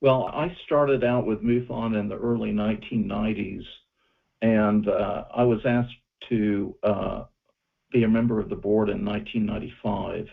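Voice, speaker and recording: The words come at a moderate pace in a normal speaking voice, the intonation fairly even. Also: man, medium pitch for a man. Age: 60s. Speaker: UFO researcher. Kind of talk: interview.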